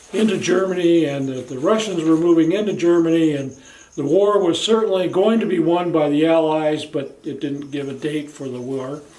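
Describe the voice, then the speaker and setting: At a moderate pace, a man in an American accent speaks with a high pitch and ordinary pitch variation, with audible room echo. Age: 70s. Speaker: video blogger. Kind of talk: personal monologue. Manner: casual, with hesitations.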